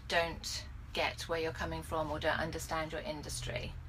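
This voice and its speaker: At a moderate pace, a woman with a southern English accent speaks amid audible room echo. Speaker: business coach vlogger. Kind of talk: casual vlog monologue. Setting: in a car.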